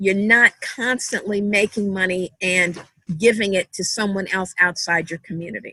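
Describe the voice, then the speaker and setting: At a fairly slow pace, a woman speaks at medium pitch with a bright, sharp tone and fairly even intonation in a dry, close sound with no echo. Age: 60s. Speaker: church garden organizer. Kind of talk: panel discussion.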